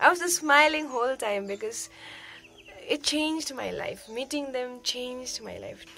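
A woman speaks at a moderate pace in a raised, projected voice, with lively intonation, big swings in loudness and light background noise. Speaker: vlogger. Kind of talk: casual talk to camera. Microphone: phone near.

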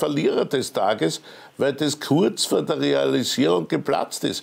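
A man speaks at a fairly slow pace with ordinary pitch variation and a touch of vocal fry. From Austria. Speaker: TV news host. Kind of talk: TV interview. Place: studio.

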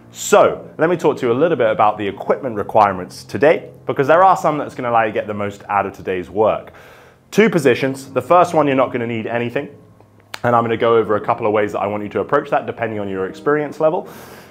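Faint music plays in the background as a man speaks at a very fast pace. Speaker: fitness coach. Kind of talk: tutorial. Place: studio.

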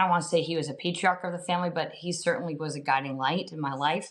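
Fairly even intonation at a fairly quick pace. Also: woman. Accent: New Jersey. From New Jersey. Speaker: school board member. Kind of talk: interview.

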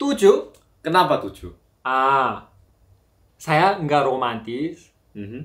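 Against a quiet background, a man with a fairly high voice talks very slowly. His intonation is lively, and he takes long, frequent pauses. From South Korea. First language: Korean (speaking Indonesian). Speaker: Korean language teacher. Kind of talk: casual interview chat. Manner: halting. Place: home room.

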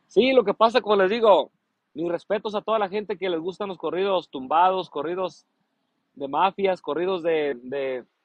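Speaking at a moderate pace, a man with a high pitch sounds animated, with ordinary pitch variation. The sound is dry with no echo and the background is quiet. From Mexico, Colima; Mexico. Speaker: singer. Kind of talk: casual chat. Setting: livestream. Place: garden. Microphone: phone near.

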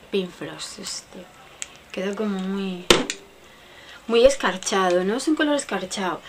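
Over loud background noise, a woman talks at a fairly slow pace in a medium pitch, with lively intonation, long, frequent pauses and big swings in loudness. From Spain. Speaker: beauty vlogger. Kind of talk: makeup product show-and-tell; casual product review chat. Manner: casual, chatty; halting. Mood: friendly, a bit unsure. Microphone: webcam.

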